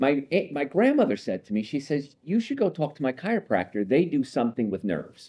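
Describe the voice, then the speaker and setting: A fairly high-pitched male voice, dark and mellow with vocal fry, in an American accent, fairly quick with hardly any pauses and very wide pitch swings, over a quiet background. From New Jersey (Hoboken). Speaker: chiropractor. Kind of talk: interview conversation.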